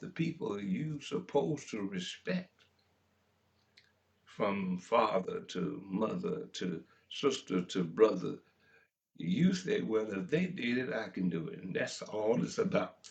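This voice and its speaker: A man with a Memphis accent at a fairly slow pace. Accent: Southern US (Memphis) English. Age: 70s. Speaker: talk radio host. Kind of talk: talk radio monologue. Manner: impassioned.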